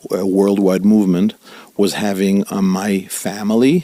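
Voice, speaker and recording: A man with an Italian accent talks at a fairly slow pace in a dark, mellow tone and a fairly low pitch. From Italy, Milan. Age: 50s. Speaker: rabbi. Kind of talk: interview.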